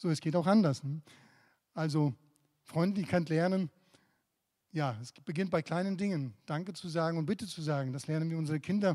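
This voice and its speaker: Fairly high-pitched with a dark, mellow tone, a man talks at a fairly quick pace with long, frequent pauses and ordinary pitch variation, on a very clean recording with a silent background. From Eastern Bloc, emigrated to Germany at 14. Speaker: pastor. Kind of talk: sermon. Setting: church.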